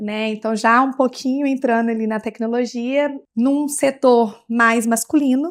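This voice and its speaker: A woman speaks at a high pitch and a fairly slow pace, with hardly any pauses and fairly even intonation. The recording is very clean, with a silent background. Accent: Minas Gerais. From Bahia, Brazil (interior). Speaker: technology executive in transport sector. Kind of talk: podcast interview. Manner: halting, with frequent fillers and restarts.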